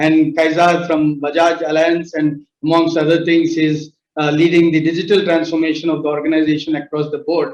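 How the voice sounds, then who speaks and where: Speaking with an Indian accent, a man uses a fairly high pitch. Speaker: panel chair, tech company founder. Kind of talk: panel discussion moderation. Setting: virtual summit. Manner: hesitant, many fillers.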